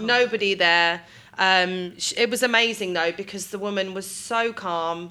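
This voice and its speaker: With a British accent, a woman talks at a moderate pace in a bright, sharp tone. Her intonation is fairly even, though her loudness swings a lot. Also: medium pitch for a woman. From UK. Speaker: midwife. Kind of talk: interview. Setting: hospital birthing room.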